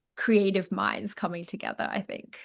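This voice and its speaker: A woman with an Australian accent, a medium pitch and a bright, sharp tone, against a quiet background. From Chinese Australian. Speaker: actress and comedy creator. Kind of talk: interview answer. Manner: casual, chatty.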